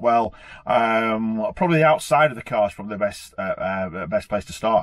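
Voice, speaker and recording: A man talks in a British accent. His pace is moderate. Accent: regional British. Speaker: supercar owner and car vlogger. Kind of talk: car review vlog. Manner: hesitant, many fillers.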